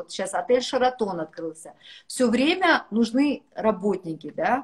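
Against a quiet background, a woman speaks at a moderate pace in a high voice. Her tone is animated. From Kazakhstan. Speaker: businesswoman; guest. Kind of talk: casual chat. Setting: video call. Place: home room. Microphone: video call.

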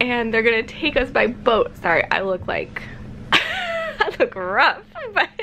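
A woman speaks in a raised, projected voice at a fairly slow pace. Her pitch swings very widely, with light background noise behind her. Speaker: vlogger. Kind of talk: casual vlog chat. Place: home room. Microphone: phone near.

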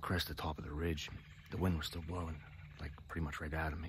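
This man has a very deep, low pitch and a monotone, flat delivery at a very fast pace. The sound is dry with no echo, and light background noise is present. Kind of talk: casual vlog chat. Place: forest. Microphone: phone near.

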